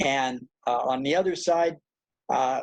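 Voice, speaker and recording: A man with an American accent at a fairly slow pace, in a dry, close sound with no echo. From Southern California. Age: 80s+. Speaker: poet and writer, award honoree. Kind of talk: award acceptance remarks, autobiographical talk.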